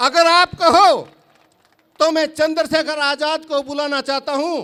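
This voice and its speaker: A man with an extremely high pitch uses a raised, projected voice with fairly even intonation. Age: 60s. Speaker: farmer leader and activist. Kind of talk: political rally speech. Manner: loud, fiery oratory.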